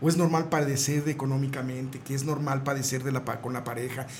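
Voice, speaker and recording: A man speaks at a fairly quick pace. Audible room echo surrounds his voice. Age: 60s. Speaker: neurolinguistic programming therapist. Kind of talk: radio interview.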